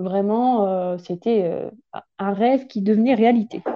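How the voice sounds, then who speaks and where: This is a woman speaking at a medium pitch. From France, Champagne. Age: 20s. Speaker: massage therapist and traveller. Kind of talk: casual chat.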